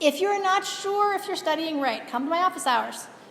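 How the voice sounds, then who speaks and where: A woman talks with ordinary pitch variation. Audible room echo and noticeable background noise surround her voice. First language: not English. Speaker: university biology lecturer. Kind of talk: lecture. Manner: casual, with filler words.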